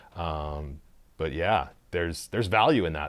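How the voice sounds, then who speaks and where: A man with a very deep, low pitch and a Canadian Prairies accent talks at a fairly quick pace with ordinary pitch variation, on a very clean recording with a silent background. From Saskatchewan, Canada. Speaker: brewery owner. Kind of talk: casual interview. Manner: animated.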